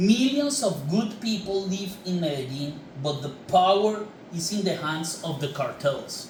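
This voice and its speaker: A man with a Colombian accent, high pitch and lively intonation at a fairly slow pace, amid noticeable background noise and audible room echo. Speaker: filmmaker. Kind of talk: prepared statement to camera. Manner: formal.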